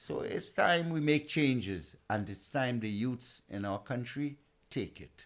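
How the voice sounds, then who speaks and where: A man with a Trinidadian accent speaks fairly slowly at medium pitch with ordinary pitch variation. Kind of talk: podcast interview. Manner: impassioned.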